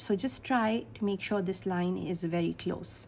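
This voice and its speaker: Speaking at a moderate pace, a woman talks in a Pakistani accent. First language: Urdu. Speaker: art teacher. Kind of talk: tutorial.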